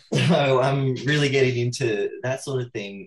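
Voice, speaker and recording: A man with a medium-pitched, somewhat breathy voice speaks at a fairly slow pace. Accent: Australian. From Australia. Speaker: horror writer. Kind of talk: panel discussion on video call.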